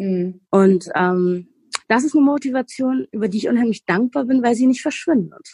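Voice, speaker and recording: With a normal speaking voice, a woman talks at a moderate pace in a fairly high pitch, her intonation lively and the sound dry and close with no echo. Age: 30s. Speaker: weight-loss program participant, medical assistant. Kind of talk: interview.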